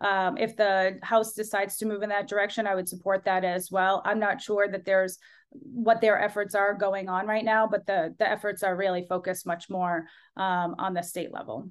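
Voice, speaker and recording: In a plain, everyday voice, a woman with an American accent speaks at a moderate pace, medium pitch and fairly even intonation. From Massachusetts, Lowell. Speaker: politician. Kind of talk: interview.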